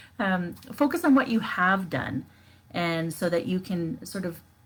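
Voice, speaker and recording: A woman's voice sits at a medium pitch and sounds somewhat breathy. Her pitch swings very widely. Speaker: life coach. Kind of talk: live stream talk. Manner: casual with fillers.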